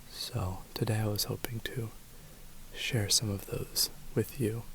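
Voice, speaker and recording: Soft-spoken and at a very slow pace, the voice comes through noticeable background noise. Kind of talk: ASMR guided grounding exercise.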